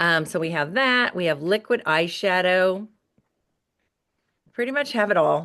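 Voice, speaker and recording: With a bright, sharp tone and a medium pitch, a woman speaks at a fairly slow pace with lively intonation, very even loudness, and long, frequent pauses against a quiet background. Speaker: beauty sales director. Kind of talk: product presentation.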